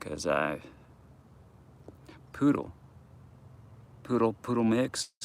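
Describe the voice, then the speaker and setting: A man mumbles at a very slow pace. His medium-pitched voice has a bright, sharp tone. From US South, Georgia. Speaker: vlogger. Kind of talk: casual live vlog. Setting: outdoors at dog park. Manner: mumbling; halting.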